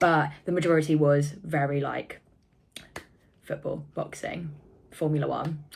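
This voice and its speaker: A woman's voice sits very deep and low, with a somewhat breathy quality. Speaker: vlogger. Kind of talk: casual vlog talk. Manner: chatty, rambling; animated.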